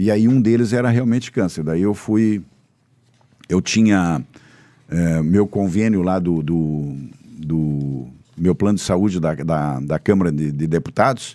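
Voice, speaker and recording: The speaker's dark, mellow tone carries lively intonation at a fairly slow pace, with long, frequent pauses. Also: man, very deep, low pitch for a man. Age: 70s. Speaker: politician. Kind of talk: casual interview. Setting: studio.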